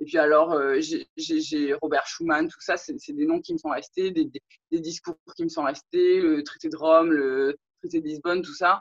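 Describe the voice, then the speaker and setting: A woman talks at a fairly slow pace with big swings in loudness. The sound is dry and close, with no echo. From French Polynesia. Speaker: interviewee, law graduate. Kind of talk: interview testimony. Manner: hesitant, many fillers.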